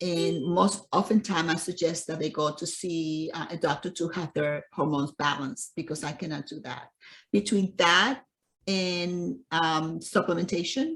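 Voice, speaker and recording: In a very clean recording with a silent background, a woman with a fairly low pitch speaks at a moderate pace with ordinary pitch variation in a plain, everyday voice. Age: 60s. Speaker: nutrition and fitness coach. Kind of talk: interview.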